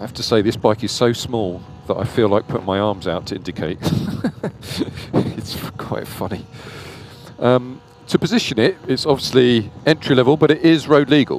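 A man talks at a moderate pace with ordinary pitch variation, his sound dry with no echo and music in the background. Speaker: electric bike dealer reviewer. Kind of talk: ride review commentary. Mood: relaxed, amused. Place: motorbike. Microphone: helmet.

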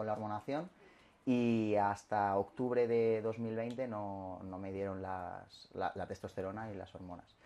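A man with a dark, mellow tone, fairly low pitch, and monotone, flat intonation. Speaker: interviewee. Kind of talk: interview answer. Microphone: camera far.

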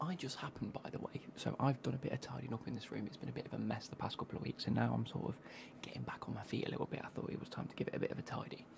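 Whispering, a man races along at a very fast pace. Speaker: football kit reviewer. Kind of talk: casual vlog chat. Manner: soft-spoken ASMR close to mic. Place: home room. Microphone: studio mic.

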